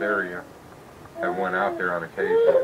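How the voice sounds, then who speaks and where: A man talks at a fairly quick pace with an American accent. Noticeable background noise runs under the recording. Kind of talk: casual storytelling, recorded conversation. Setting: home recording.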